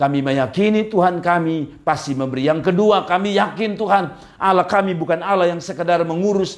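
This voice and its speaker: At a moderate pace, a man speaks with a high pitch. His pitch varies in an ordinary way. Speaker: pastor. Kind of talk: prayer.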